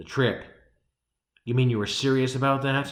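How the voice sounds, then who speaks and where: A man uses a gruff, put-on character voice at medium pitch with monotone, flat intonation. He speaks at a moderate pace, and an echo is audible. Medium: read story. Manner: gruff, demanding.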